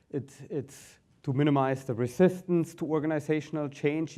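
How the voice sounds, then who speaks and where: A man with a German accent speaks at a moderate pace with fairly even intonation. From Germany. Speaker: business consultant, company founder. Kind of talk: conference presentation.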